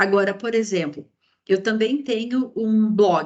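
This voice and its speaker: A woman speaks at a fairly high pitch and a fairly slow pace. Her voice is somewhat breathy. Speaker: university professor, copyright law specialist. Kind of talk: lecture. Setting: online class, video call.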